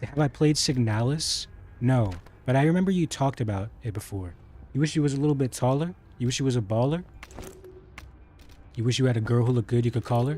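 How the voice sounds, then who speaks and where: A man speaks at a very fast pace in a medium pitch, with ordinary pitch variation. Long, frequent pauses break up his words over noticeable background noise. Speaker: gaming streamer. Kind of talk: live gameplay commentary. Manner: soft-spoken; quiet, doesn't project.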